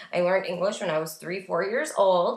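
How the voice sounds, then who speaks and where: Amid noticeable background noise, a woman with an American accent speaks at a fairly quick pace. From New York, Staten Island. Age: 20s. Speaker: former reality TV contestant, vlogger. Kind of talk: casual vlog tutorial. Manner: casual, filler-heavy.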